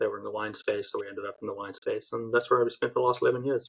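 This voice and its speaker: A man speaks with an American accent. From South Africa. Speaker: podcast host, accountant. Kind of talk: casual interview. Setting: podcast.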